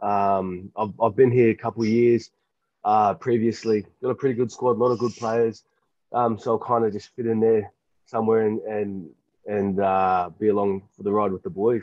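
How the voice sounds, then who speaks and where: With an Australian accent, a man talks at a moderate pace in a fairly low pitch, his intonation fairly even. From rural New South Wales, Australia. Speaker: professional rugby player. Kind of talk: casual interview chat. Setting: remote call from quarantine.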